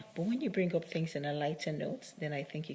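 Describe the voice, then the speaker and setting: The voice belongs to a woman and is very deep and low in pitch. She talks at a fairly quick pace. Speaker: matchmaker and video diarist. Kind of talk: casual video diary monologue.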